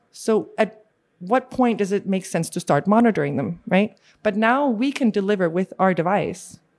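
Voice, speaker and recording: Over a quiet background, a woman speaks at a medium pitch with ordinary pitch variation and a moderate pace. She has a normal speaking voice. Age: 40s. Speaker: space tech company CEO. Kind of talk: interview.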